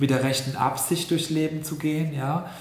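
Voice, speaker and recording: Over noticeable background noise and audible room echo, a man talks at a fairly quick pace. His intonation is monotone and flat. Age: 40s. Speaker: health scientist and yoga teacher. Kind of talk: interview. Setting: in person, seated next to host.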